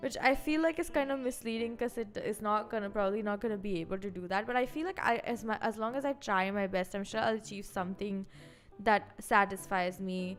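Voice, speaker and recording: A woman's fairly high voice at a fairly quick pace, ordinary pitch variation, music in the background. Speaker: vtuber streamer. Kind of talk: casual chat. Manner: fast.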